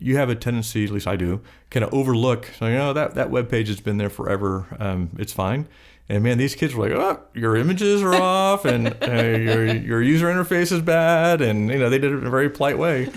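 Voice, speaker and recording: On a very clean recording with a silent background, a man speaks at a medium pitch and a fairly quick pace, his pitch swinging very widely. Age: 60s. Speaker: business owner. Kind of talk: interview conversation.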